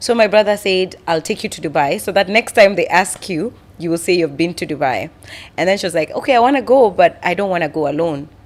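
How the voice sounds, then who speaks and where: A woman talks at a very fast pace with lively intonation. Her pitch sits in the medium range. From Kenya. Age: 20s. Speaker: podcast host. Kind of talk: casual interview chat. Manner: loud; playful.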